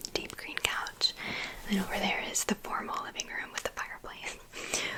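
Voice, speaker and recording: Whispering in an American accent, a woman keeps a relaxed tone against noticeable background noise. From USA. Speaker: ASMR artist. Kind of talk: ASMR haul talk to camera. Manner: soft-spoken, rambling, relaxed.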